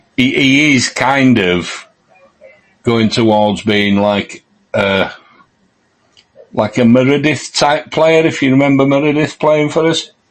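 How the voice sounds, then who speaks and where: In a Yorkshire accent, a man talks at a medium pitch and a fairly slow pace, with ordinary pitch variation. His loudness stays very even, and he leaves long, frequent pauses. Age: 60s. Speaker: football podcast co-host. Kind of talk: casual chat.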